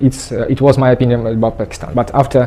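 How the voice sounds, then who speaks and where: Against noticeable background noise, a man with a Russian accent speaks at medium pitch. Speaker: traveller. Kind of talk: interview. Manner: halting.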